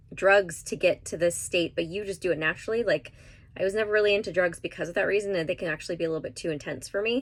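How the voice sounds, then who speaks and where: A woman talks at a very fast pace with a medium pitch. Her voice has ordinary pitch variation. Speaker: tarot card reader. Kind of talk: tarot reading monologue. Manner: animated.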